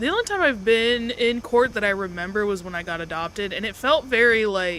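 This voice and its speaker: In a plain, everyday voice, a woman speaks at a fairly quick pace with hardly any pauses. Her pitch is fairly high, with ordinary variation. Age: 20s. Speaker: streamer's guest co-playing a game. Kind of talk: casual chat while gaming on a livestream.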